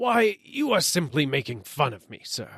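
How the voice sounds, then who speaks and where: Putting on a raspy character voice, a man speaks at a moderate pace with very wide pitch swings. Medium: read story. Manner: curt, impatient.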